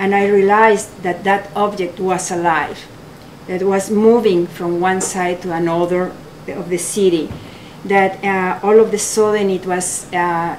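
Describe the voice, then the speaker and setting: Spoken in a strong Mexican accent at a fairly slow pace, the voice stays monotone and flat, with noticeable background noise and audible room echo. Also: woman, medium pitch for a woman. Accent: heavy Mexican Spanish. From Mexico. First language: Spanish. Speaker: photographer, artist. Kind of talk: gallery talk. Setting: art gallery with audience. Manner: halting.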